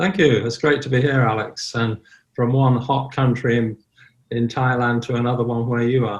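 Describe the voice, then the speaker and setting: A somewhat breathy man at medium pitch and a moderate pace. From southern Ireland. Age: 70s. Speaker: online sober community founder. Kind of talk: podcast interview.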